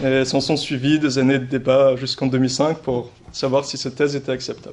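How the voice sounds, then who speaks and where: A man talks in a fairly high-pitched voice. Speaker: philosophy lecturer. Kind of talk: lecture.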